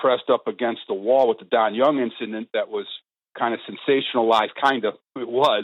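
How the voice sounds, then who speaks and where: With ordinary pitch variation, an unremarkable speaking voice talks at a fairly quick pace. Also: man. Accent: American. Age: 60s. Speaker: podcast host. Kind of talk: interview.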